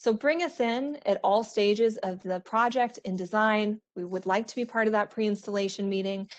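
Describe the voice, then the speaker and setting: Against a quiet background, a woman speaks at a fairly high pitch with ordinary pitch variation and hardly any pauses. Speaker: architectural sales rep presenting to architects. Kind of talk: webinar presentation. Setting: virtual online webinar. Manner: fast.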